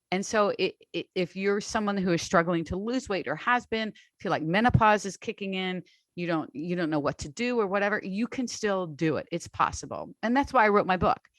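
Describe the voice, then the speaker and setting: A normal speaking voice from a woman, medium in pitch with ordinary pitch variation, at a fairly quick pace, dry and close with no echo. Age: 60s. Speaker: online strength coach. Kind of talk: interview conversation.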